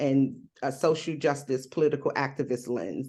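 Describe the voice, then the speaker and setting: An American accent marks this woman's speech. She talks at a fairly slow pace. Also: quiet background. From New Jersey / New York. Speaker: activist and survivor advocate. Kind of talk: panel discussion.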